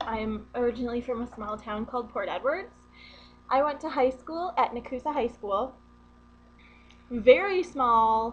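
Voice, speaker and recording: In a northern US accent, a woman with a high pitch speaks at a moderate pace. Her pitch variation is ordinary, and she takes long, frequent pauses. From US Midwest, central Wisconsin. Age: 20s. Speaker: vlogger. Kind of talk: casual vlog. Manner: casual, rambling with fillers.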